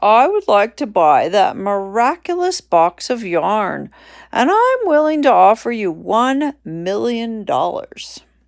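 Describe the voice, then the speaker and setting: A woman's put-on character voice, fairly high, with very wide pitch swings at a fairly slow pace, on a very clean recording with a silent background. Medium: read story. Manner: pompous, demanding.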